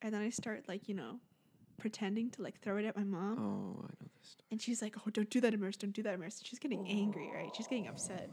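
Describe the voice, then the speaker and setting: Very fast and somewhat breathy, a woman of medium pitch talks with fairly even intonation and big swings in loudness. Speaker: podcast co-host. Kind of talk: casual chat. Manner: giggly.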